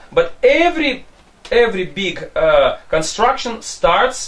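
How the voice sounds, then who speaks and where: The pace is very slow as a man speaks. Noticeable background noise is present. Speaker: interviewer. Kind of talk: interview.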